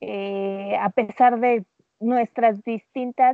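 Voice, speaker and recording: In a Mexican accent, a woman with fairly high pitch speaks at a very slow pace. Her intonation stays fairly even. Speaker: makeup artist and insurance adviser. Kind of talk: casual chat. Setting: remote call.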